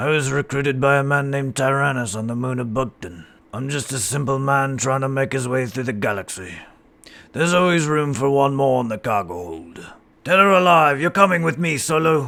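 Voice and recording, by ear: A man puts on a character voice at a medium pitch. His delivery is fairly quick, with lively intonation.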